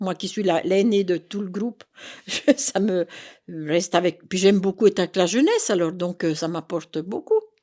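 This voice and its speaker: A woman talks at a moderate pace in a dark, mellow tone with medium pitch and ordinary pitch variation. The sound is dry and close, with no echo. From Burgundy, France (Autun area). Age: 70s. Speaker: retired senior participant. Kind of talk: interview. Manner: halting, many hesitations.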